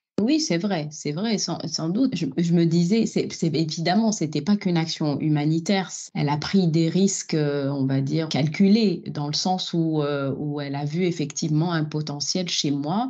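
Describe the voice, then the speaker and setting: With audible room echo, a woman speaks at a fairly slow pace with hardly any pauses, her fairly low pitch, dark, mellow tone and ordinary pitch variation all present. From Algeria. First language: Algerian Arabic (speaking French). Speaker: opera singer. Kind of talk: interview conversation. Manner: hesitant, many fillers.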